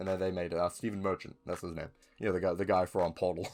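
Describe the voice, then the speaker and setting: A man talks at a very fast pace with a New Zealand accent. Music plays in the background. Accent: New Zealand (Kiwi). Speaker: film and TV reviewer, YouTuber. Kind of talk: casual talk to camera, collection showcase. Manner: casual, hesitant with many fillers and restarts.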